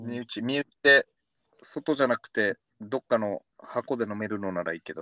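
A man speaks at a medium pitch with a bright, sharp tone and ordinary pitch variation. His loudness swings widely in a dry, close recording with no echo. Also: moderate pace. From Okinawa. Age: 30s. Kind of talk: casual chat.

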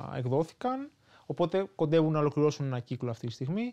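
A man with a plain, everyday voice, fairly high pitch, and moderate pace against a quiet background. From Greece, Athens area. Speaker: author. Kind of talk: interview.

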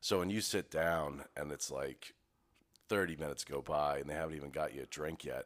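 Speaking at a fairly quick pace, a man with a very deep, low pitch and vocal fry keeps his intonation fairly even. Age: 30s. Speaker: business owner, podcast co-host. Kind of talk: casual chat.

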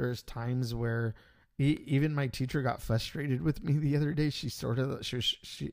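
In a very clean recording with a silent background, a man with an ordinary speaking voice talks at a medium pitch and moderate pace with ordinary pitch variation. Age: 40s. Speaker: podcast host and English teacher. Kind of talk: solo podcast monologue.

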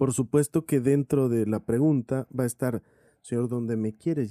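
Dry and close with no echo, a man's voice at medium pitch has a dark, mellow tone, a moderate pace and fairly even intonation. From Mexico, Sonora (Cananea). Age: 40s. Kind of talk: interview testimony.

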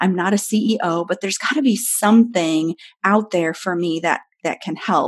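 A medium-pitched woman with an American accent, ordinary pitch variation and a moderate pace. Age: 40s. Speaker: pastor. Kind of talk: interview. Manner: animated.

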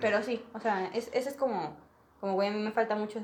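A woman talks at a fairly quick pace with a fairly high pitch. Noticeable background noise sits behind her. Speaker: podcast guest. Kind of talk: casual chat.

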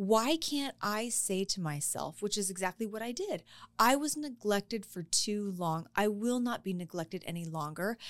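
A woman speaks at a moderate pace in an ordinary speaking voice, medium-pitched, with a dry, close sound, no echo, and a very clean recording over a silent background. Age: 50s. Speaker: guest sharing personal dating life after divorce. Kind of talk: casual chat.

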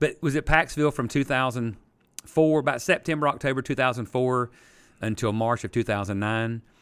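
On a very clean recording with a silent background, a man with a Southern US accent and medium pitch speaks at a fairly quick pace with ordinary pitch variation. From South Carolina, Easley. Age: 50s. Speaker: pastor and sports referee. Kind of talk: casual interview. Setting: church classroom.

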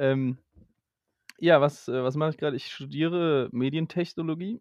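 Intonation stays fairly even throughout. The sound is dry and close with no echo, over a quiet background. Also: man. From Germany. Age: 20s. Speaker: media technology student, trained voice actor. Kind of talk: casual chat.

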